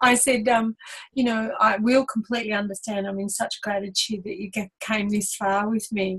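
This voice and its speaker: In an unremarkable speaking voice, a woman talks at a moderate pace with a fairly high pitch and fairly even intonation. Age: 60s. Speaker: spiritual teacher, angel medium. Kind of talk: casual talk show teaching.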